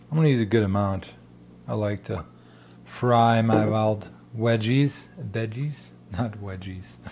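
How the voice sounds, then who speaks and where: A man speaks in a fairly low, somewhat breathy voice with ordinary pitch variation. His pace is fairly slow, with long, frequent pauses. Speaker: forager and food vlogger. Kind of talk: casual cooking vlog. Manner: casual and chatty.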